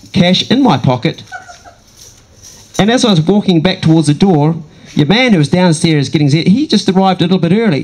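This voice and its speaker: Speaking at a fairly quick pace with a New Zealand accent, a man with a high pitch and lively intonation keeps very even loudness, leaving long, frequent pauses over noticeable background noise. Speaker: comedian. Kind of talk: stand-up. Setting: stage with audience. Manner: animated.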